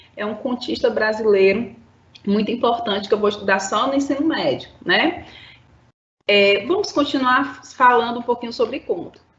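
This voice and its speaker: A woman speaks high with lively intonation. Audible room echo surrounds her voice. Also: moderate pace. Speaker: school teacher. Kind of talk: lecture. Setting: live-streamed online class.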